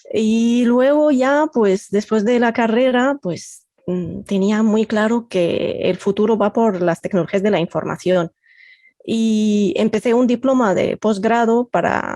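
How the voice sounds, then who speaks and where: A woman with a non-native accent speaks at a very slow pace and fairly high pitch, her dark, mellow tone showing ordinary pitch variation and very even loudness, in a dry, close recording with no echo and a quiet background. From Egypt. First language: Arabic (speaking Spanish). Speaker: computational linguist. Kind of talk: podcast interview.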